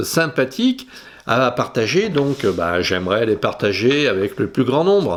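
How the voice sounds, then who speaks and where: The pace is very slow. This man's pitch moves across a very wide range. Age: 60s. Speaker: photography youtuber. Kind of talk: casual vlog monologue. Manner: halting, many hesitations.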